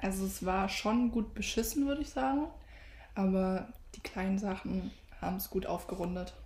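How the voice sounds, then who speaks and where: Set in audible room echo, a woman at medium pitch speaks at a moderate pace with lively intonation and long, frequent pauses. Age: young. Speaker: podcast co-host, retail apprentice. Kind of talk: casual chat.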